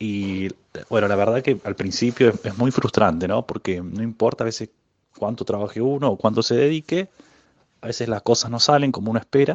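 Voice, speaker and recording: This man has a normal speaking voice with a fairly low pitch. He talks fairly quickly with ordinary pitch variation. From Argentina, Córdoba city. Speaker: physicist. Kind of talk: interview.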